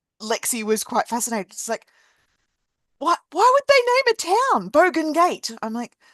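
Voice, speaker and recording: Heard with a dry, close sound, no echo and a quiet background, the speaker uses an Australian accent at a moderate pace, with very wide pitch swings and big swings in loudness. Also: woman, high pitch for a woman. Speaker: podcast host and coach. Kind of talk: casual conversation.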